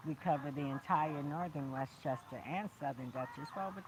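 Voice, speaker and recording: The delivery is animated, at a moderate pace. Noticeable background noise can be heard. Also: woman. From Brooklyn, New York. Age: 50s. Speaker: motivational speaker and indie artist. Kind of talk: livestream motivational talk. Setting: outdoors in a park.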